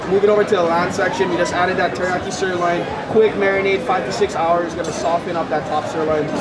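Crowd noise can be heard in the background. The speech comes at a very fast pace. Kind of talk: menu specials explanation. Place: cafe.

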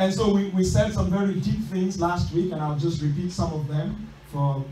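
The speech has lively intonation. Audible room echo and light background noise accompany it. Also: man. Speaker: preacher. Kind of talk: sermon. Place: church.

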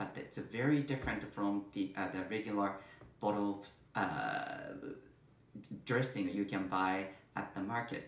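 A man speaking at a fairly slow pace, ordinary pitch variation, audible room echo. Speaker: home cooking show host. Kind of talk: cooking tutorial. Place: kitchen.

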